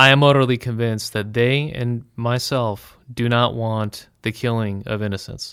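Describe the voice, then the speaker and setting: A man with an American accent speaks at a fairly slow pace in a monotone, flat voice. The recording is very clean with a silent background. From United States. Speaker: trip organizer and commentator on Israel. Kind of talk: interview.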